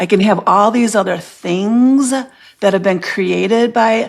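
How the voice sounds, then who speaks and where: A woman speaks at a very slow pace. Her pitch is fairly high, with ordinary pitch variation. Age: 60s. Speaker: podcast guest, body empowerment speaker. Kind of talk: casual interview chat. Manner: halting, many fillers and restarts.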